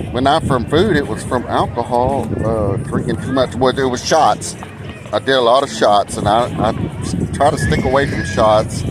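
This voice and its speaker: With an American accent, a man of medium pitch talks at a moderate pace with ordinary pitch variation. Noticeable background noise runs beneath his voice. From Texas, Dallas (South Oak Cliff). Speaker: cruise vlogger. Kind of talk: casual vlog monologue. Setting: outdoors at a cruise line's private island.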